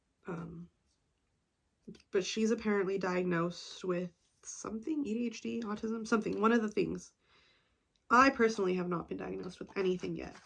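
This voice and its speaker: At a fairly quick pace, a woman of medium pitch speaks with ordinary pitch variation, long, frequent pauses and big swings in loudness. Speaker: vlogger. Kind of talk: casual chat. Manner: sarcastic-sounding even when enthusiastic.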